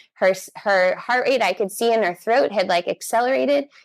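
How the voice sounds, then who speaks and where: Speaking at a fairly quick pace, a woman with an American accent has a fairly high pitch, an animated tone, and lively intonation. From California. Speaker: bodyworker and doula. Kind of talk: podcast interview.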